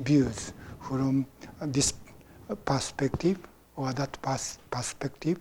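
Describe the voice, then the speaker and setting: Someone speaks very slowly with a Japanese accent. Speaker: Zen teacher. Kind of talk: dharma talk. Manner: halting.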